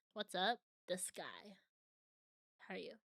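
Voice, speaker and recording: Her voice raised and projected, a woman speaks at a very slow pace in a bright, sharp tone. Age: 20s. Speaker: vtuber streamer. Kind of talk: casual live stream chat.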